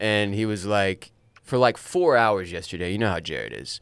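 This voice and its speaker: With an ordinary speaking voice, a man talks at a fairly quick pace and fairly low pitch, his intonation fairly even. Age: 30s. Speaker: author and podcast host. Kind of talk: casual chat. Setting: studio.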